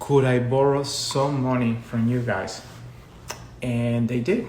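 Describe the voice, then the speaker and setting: Over noticeable background noise and audible room echo, a man speaks at a medium pitch and a moderate pace with fairly even intonation. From Colombia. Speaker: education consultant. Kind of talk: live stream talk. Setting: social media live video.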